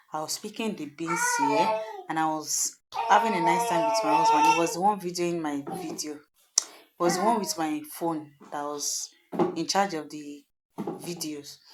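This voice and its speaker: With a southwestern Nigerian accent, a woman with a fairly low pitch talks at a moderate pace using lively intonation. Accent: Nigerian Yoruba-accented English. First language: Yoruba. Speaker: cooking vlogger. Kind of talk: casual voiceover narration of cooking video. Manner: hesitant, informal.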